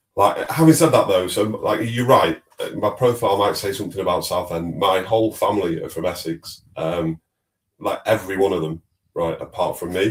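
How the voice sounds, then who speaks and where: Moderate in pace, this man speaks. He has a slight Manchester accent. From northern England, Manchester. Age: 40s. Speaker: fintech executive. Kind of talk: podcast interview.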